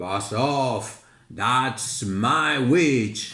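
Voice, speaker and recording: In a put-on character voice, a man growls in a croaky, shrill way at a medium pitch. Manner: scowling.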